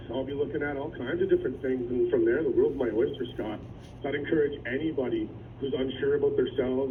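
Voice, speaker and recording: A man talks at a very fast pace. Noticeable background noise and audible room echo surround him. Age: 30s. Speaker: former adult education student. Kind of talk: radio interview testimony. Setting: phone call. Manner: animated.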